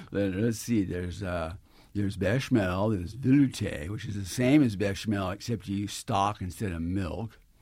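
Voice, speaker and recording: Delivered at a moderate pace with ordinary pitch variation, a plain, everyday voice comes through on a very clean recording with a silent background. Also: man, fairly low pitch for a man. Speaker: chef and cookbook author. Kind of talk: radio interview. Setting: studio.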